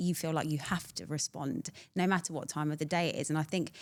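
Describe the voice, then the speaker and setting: Recorded very cleanly over a silent background, a woman with a British accent speaks in a very deep, low pitch with fairly even intonation. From Britain. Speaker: entrepreneur, community founder. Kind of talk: podcast interview answer. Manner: honest, humorous.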